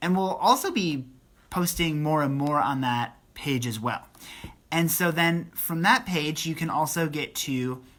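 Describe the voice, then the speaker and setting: With lively intonation, a woman talks at a fairly slow pace in a very deep, low pitch. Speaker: children's ministry leader. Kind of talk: announcement update video. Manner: casual, many fillers.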